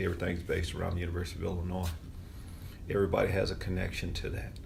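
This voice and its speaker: A man's very deep, low voice with vocal fry and an American accent, plus audible room echo. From US South. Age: 60s. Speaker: community member. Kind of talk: interview.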